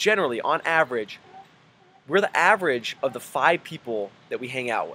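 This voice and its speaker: A man's animated, fairly high voice at a fairly quick pace. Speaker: personal trainer and lifestyle coach. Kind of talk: motivational video message. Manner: fast.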